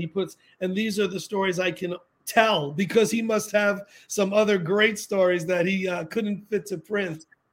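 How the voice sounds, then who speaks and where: Someone with an American accent speaks at a moderate pace with fairly even intonation. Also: man, very clean recording, silent background. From New York, the Bronx. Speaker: author and Beatles event promoter. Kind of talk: casual interview.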